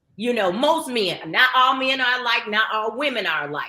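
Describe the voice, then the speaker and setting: Loud and high-pitched, a woman speaks at a moderate pace. Her intonation is lively. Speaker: marriage counselor. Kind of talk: casual chat.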